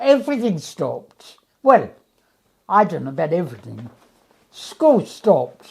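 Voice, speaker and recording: Speaking at a fairly slow pace with long, frequent pauses, a woman uses a medium pitch with very wide pitch swings and vocal fry. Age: 80s+. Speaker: retired teacher. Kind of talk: interview answer.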